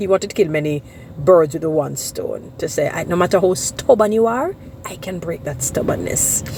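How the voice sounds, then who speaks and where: Over noticeable background noise, a woman with a Jamaican accent speaks at a moderate pace in a fairly low voice. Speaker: social media commentator. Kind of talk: monologue vlog with biblical commentary.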